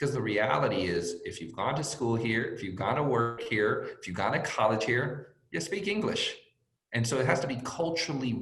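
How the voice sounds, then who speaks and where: A man speaks in a Spanish accent at a medium pitch and a moderate pace. His intonation is lively, and room echo is audible. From born in Mexico, raised in US from age five. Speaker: sports team executive. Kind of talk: panel interview.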